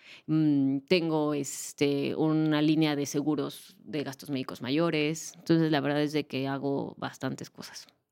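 In a very deep, low, dark and mellow voice, a woman speaks fairly slowly in a flat monotone with hardly any pauses. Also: very clean recording, silent background. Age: 30s. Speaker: financial educator. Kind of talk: interview.

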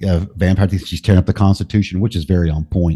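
Recorded dry and close with no echo against a quiet background, a man talks at a very fast pace in a very deep, low pitch, his dark, mellow tone somewhat breathy and his pitch variation ordinary. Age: 50s. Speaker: podcaster. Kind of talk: casual conversation.

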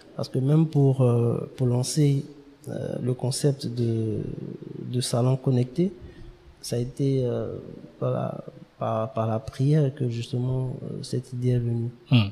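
Noticeable background noise sits under a man speaking at a very slow pace with long, frequent pauses. His pitch is medium, and his intonation is fairly even. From Ivory Coast, Abidjan. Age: young. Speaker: start-up founder. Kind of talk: interview.

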